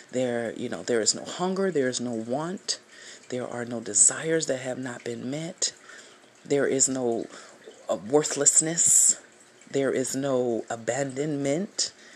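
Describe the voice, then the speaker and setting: The talking goes at a fairly slow pace, and noticeable background noise can be heard. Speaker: spiritual speaker or devotional leader. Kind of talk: fervent prayer, spiritual devotional monologue. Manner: fervent, earnest, slow and meditative with sighs.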